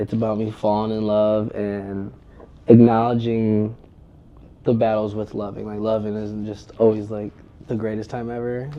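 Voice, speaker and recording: A man with an American accent speaks at a moderate pace in a fairly low pitch. His intonation is monotone and flat, while his loudness swings widely. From Toledo, Ohio, US Midwest. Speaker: music artist, rapper. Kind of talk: interview. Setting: office.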